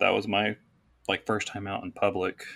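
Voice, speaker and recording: This clip features a man. His delivery is fairly slow. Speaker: guest sharing her story. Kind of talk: casual chat.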